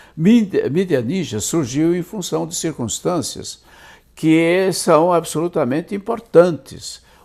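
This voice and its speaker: A high-pitched man at a very slow pace with lively intonation. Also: very clean recording, silent background. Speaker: journalist and author. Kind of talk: interview.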